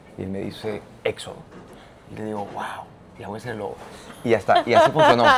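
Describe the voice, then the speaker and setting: A man's very fast delivery, with long, frequent pauses and big swings in loudness. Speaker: theatre and opera director. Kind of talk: interview. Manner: animated.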